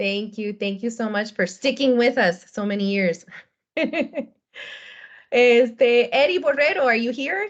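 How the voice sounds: A woman's fairly high voice at a fairly slow pace, with ordinary pitch variation.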